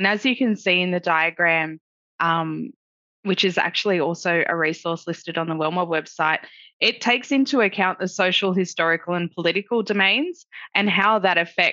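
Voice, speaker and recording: Speaking with an Australian accent, a woman has a fairly low pitch and ordinary pitch variation. She keeps a moderate pace against a quiet background. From Lismore, Northern Rivers, New South Wales. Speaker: project officer and student. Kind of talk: webinar interview. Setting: video call.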